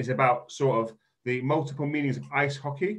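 Somewhat breathy, a man talks at a moderate pace with a fairly high pitch and fairly even intonation over a quiet background. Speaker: event host. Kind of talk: event introduction. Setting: video call. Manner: halting, filler-heavy. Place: home room. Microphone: video call.

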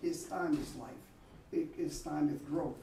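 A man with fairly even intonation talks at a moderate pace, noticeable background noise behind him. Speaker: teacher. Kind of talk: lecture. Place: classroom. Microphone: camera far.

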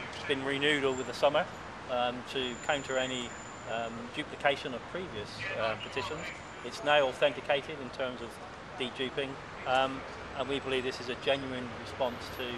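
A man talks at a fairly quick pace in a dry sound with no echo, against noticeable background noise. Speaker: campaign group spokesman. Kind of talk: formal statement to camera. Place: street.

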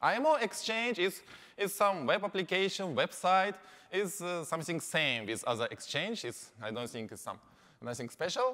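With a Japanese accent, a man raises and projects a high-pitched, bright, sharp voice, his pitch swinging very widely and his loudness rising and falling sharply. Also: moderate pace. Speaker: company representative. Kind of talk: conference presentation. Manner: halting with many fillers.

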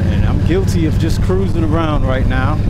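The sound is dry with no echo. Loud background noise runs underneath. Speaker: motorcycle vlogger. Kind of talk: casual vlog chat. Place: motorbike. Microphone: helmet.

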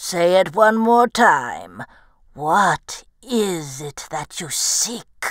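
In a put-on character voice, the speaker goes at a very slow pace with lively intonation and big swings in loudness. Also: woman, medium pitch for a woman. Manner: gruff, bargaining.

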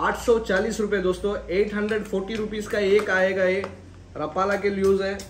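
Audible room echo surrounds a man speaking at a high pitch with little pitch movement.

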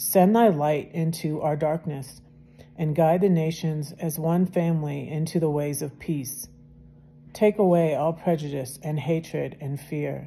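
A woman speaks at a fairly slow pace with a very deep, low pitch and fairly even intonation. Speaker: video channel host reading devotional. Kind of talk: casual chat, devotional reading aloud, then fervent prayer. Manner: fervent, heartfelt, earnest and emotional prayer; chatty, warm, informal. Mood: calm, reverent. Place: home room. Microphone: phone near.

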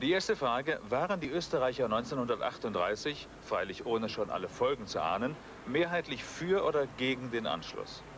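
A man's normal speaking voice at medium pitch, with lively intonation and a moderate pace. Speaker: documentary presenter. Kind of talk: TV documentary commentary.

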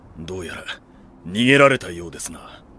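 A man's raspy put-on character voice at a moderate pace, with big swings in loudness. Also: very deep, low pitch for a man. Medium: audio drama. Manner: formal, steady, grave.

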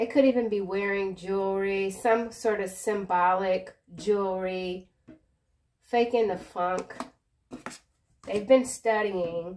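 Here a woman talks at a very slow pace with long, frequent pauses. Her intonation is fairly even. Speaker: tarot reader. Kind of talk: tarot reading commentary. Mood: calm, reassuring, playful. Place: home room. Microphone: phone near.

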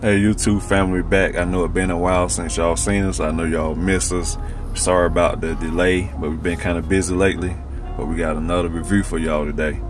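Over clear background music, a man with a very deep, low voice talks at a very fast pace, his pitch varying in an ordinary way, in a dry sound with no echo. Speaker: food reviewer. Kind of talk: casual vlog chat. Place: car. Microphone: phone near.

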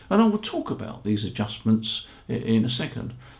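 A man with a slightly mellow tone talks at a moderate pace, his pitch swinging widely.

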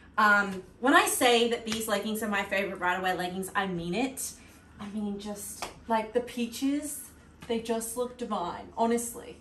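Audible room echo around a woman's voice, plus light background noise. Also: fairly high pitch for a woman, ordinary pitch variation, moderate pace. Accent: Australian. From Australia. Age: late 20s. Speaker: fitness content creator. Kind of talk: casual talk to camera. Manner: upbeat, chatty. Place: home room. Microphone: camera far.

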